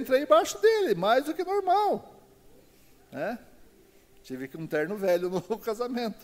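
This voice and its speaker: A man's extremely high voice makes very wide pitch swings and big swings in loudness at a moderate pace, with long, frequent pauses. Noticeable background noise sits behind him. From Paraná interior, Brazil (Castro). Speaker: lay preacher. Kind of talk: sermon.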